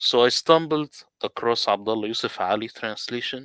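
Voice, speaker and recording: The recording is very clean, with a silent background and a dry, close sound with no echo. A man with an Arabic accent speaks at a fairly slow pace in a bright, sharp tone with ordinary pitch variation. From Middle East. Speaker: Quran translator. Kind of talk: presentation.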